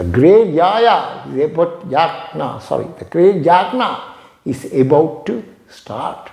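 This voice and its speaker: A man with a Tamil accent, high-pitched for a man, with lively intonation at a very slow pace, plus audible room echo. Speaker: yoga teacher. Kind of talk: storytelling lecture.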